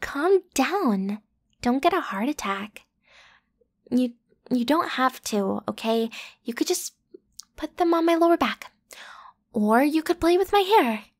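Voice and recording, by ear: In a put-on character voice, a woman speaks with a high pitch and lively intonation at a fairly slow pace, leaving long, frequent pauses, on a very clean recording with a silent background.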